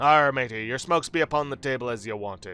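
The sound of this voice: Here a man puts on a character voice at medium pitch. He speaks at a very fast pace.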